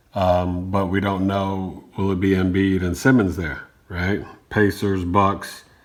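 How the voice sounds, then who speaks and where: Speech comes at a very slow pace in a monotone, flat intonation, with audible room echo. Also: man, very deep, low pitch for a man. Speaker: sports podcast host. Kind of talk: sports talk monologue.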